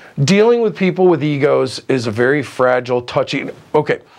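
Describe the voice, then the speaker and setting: Over noticeable background noise, a man speaks at a moderate pace. His tone is animated, with ordinary pitch variation. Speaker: film crew grip. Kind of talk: interview. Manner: loud.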